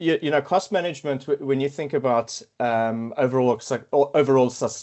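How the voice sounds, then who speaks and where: This is a man speaking. He has a South African accent. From South Africa, Cape Town. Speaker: quantity surveyor and consultant team lead. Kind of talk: podcast interview. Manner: halting, many fillers and repetitions.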